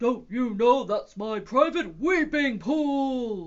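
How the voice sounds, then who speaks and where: Putting on a character voice, a man talks very slowly at an extremely high pitch. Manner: angry, indignant.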